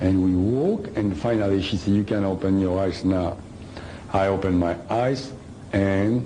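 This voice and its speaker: Audible room echo surrounds a man with a French accent who talks at a fairly slow pace and a fairly low pitch. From France. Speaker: author and lecturer. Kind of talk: lecture. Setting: hall with live audience. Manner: halting.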